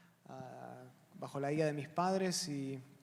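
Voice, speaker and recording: Heard with audible room echo, a man with an Argentine accent speaks at a fairly high pitch with fairly even intonation. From Argentina. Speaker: pastor and seminary professor. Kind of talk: panel Q&A introduction. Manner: hesitant, many fillers.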